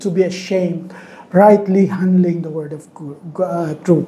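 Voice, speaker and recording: A woman with a dark, mellow tone speaks at a fairly slow pace, with audible room echo. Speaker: Bible teacher. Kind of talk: Bible study lecture. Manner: raised voice, loud.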